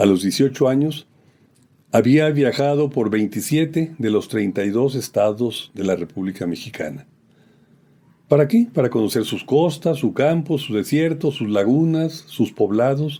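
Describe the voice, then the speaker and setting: A man's dark, mellow tone at a fairly high pitch, lively intonation and fairly slow pace, in a very clean recording with a silent background. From Mexico, Aguascalientes. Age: 70s. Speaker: poet. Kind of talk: autobiographical reflection. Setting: at home. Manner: formal.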